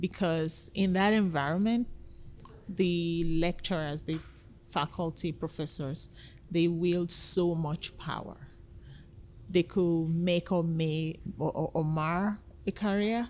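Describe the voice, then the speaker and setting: A woman talks at a very slow pace with a fairly low pitch. Her pauses are long and frequent. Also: fairly even intonation. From Nigeria. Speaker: nonprofit founder, former biochemistry lecturer. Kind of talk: podcast interview.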